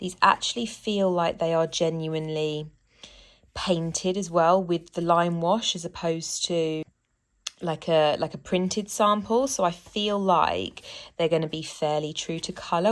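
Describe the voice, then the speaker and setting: A woman with a British accent speaks at a fairly low pitch and a fairly slow pace, with ordinary pitch variation. The recording is very clean, with a silent background. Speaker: home renovation vlogger. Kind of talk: casual DIY vlog. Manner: soft-spoken, quiet.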